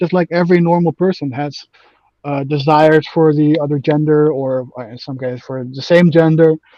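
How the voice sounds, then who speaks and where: A man with a slight Dutch accent, fairly high pitch, ordinary pitch variation and a dark, mellow tone, in a dry, close sound with no echo. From Netherlands. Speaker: online gamer debating politics. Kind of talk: casual debate. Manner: halting, many fillers.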